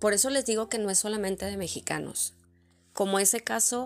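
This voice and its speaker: A woman's medium-pitched voice stays monotone and flat, captured in a very clean recording with a silent background. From Mexico, Monterrey. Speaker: podcast host. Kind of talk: personal storytelling monologue.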